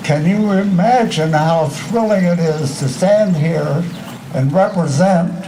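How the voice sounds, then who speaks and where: Noticeable background noise runs under this clip. The speaker talks at a very slow pace. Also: man. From Illinois, USA. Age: 80s+. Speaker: war veteran. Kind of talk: memorial day speech.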